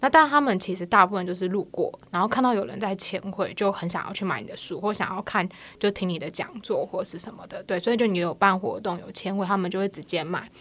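A woman with an unremarkable speaking voice talks fairly quickly at a medium pitch, her pitch varying in an ordinary way. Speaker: comic artist. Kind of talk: casual chat.

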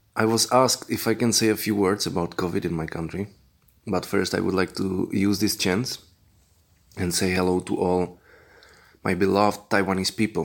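A man speaks at a moderate pace in a fairly low voice with fairly even intonation, leaving long, frequent pauses. The recording is very clean with a silent background. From Czech Republic. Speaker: host's friend. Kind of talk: recorded message.

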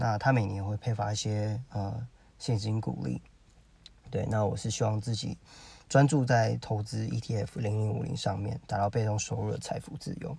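Somewhat breathy and dark, mellow in tone, a man's fairly low voice moves at a moderate pace. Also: ordinary pitch variation. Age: 30s. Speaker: podcaster. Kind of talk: solo monologue. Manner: halting, many fillers.

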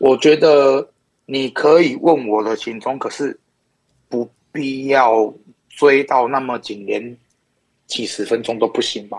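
At a very slow pace, a man speaks with medium pitch and fairly even intonation. Long, frequent pauses break up his speech. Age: 30s. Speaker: podcast guest interviewee. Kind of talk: casual chat.

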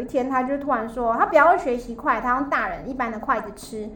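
A woman speaks at a very fast pace in a high voice. Noticeable background noise runs beneath her. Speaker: high school teacher. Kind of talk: casual chat.

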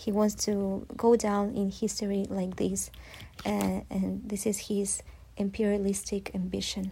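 Very slow speech in a Ukrainian accent. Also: woman. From southern Ukraine, Zaporizhzhia. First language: Ukrainian (speaking Chinese). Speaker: Ukrainian expat interviewee. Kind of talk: interview answers. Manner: halting with frequent fillers.

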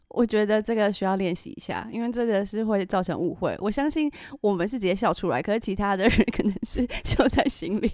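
Talking at a fairly quick pace with hardly any pauses, a woman uses a normal speaking voice with ordinary pitch variation. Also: medium pitch for a woman. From Taiwan. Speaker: podcast host. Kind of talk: casual chat.

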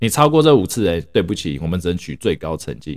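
On a very clean recording with a silent background, a man with a very deep, low voice makes very wide pitch swings. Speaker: podcast host, doctor in the US. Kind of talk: casual monologue.

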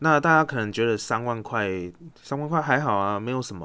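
A man with a Taiwanese accent, medium pitch, lively intonation and a bright, sharp tone, on a very clean recording with a silent background. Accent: Taiwanese Mandarin. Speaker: investing podcast host. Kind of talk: solo podcast monologue. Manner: casual with many fillers.

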